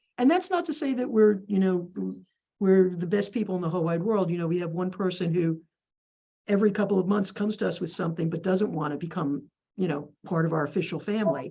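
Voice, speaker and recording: At a very fast pace, a woman speaks with a medium pitch, a dark, mellow tone, a somewhat breathy quality and ordinary pitch variation. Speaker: community village staff member. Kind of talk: group meeting discussion.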